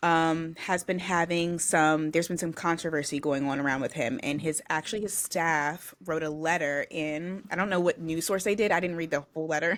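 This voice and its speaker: An ordinary speaking voice, this woman's fairly low pitch moves in a fairly even intonation at a moderate pace with hardly any pauses, on a very clean recording with a silent background. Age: young. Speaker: podcast co-host. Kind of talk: casual chat.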